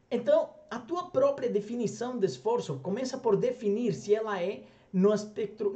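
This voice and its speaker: This man's voice moves in very wide pitch swings. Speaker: language coach. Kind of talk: motivational talk to camera. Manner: conversational, rhetorical questions.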